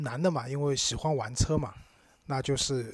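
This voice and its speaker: A man talks in a somewhat breathy voice at a fairly high pitch, with ordinary pitch variation. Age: 30s. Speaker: podcast co-host about cars. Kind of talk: casual chat.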